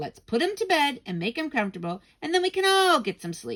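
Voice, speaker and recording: A woman's put-on character voice, high-pitched and fairly quick, with very wide pitch swings. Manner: strained, through clenched teeth; forced patience.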